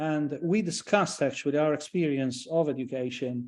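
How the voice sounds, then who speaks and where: Man's fairly high voice in a dark, mellow tone with a Maltese accent and ordinary pitch variation, against a quiet background. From Malta. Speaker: professor. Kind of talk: lecture. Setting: online event. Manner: halting, many repetitions and fillers.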